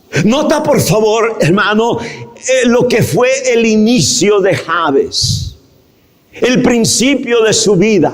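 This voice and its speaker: Speaking very slowly at a high pitch, a man keeps his loudness very even and his pitch variation ordinary. Noticeable background noise and audible room echo fill the recording. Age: 60s. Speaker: pastor. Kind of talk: sermon. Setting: church.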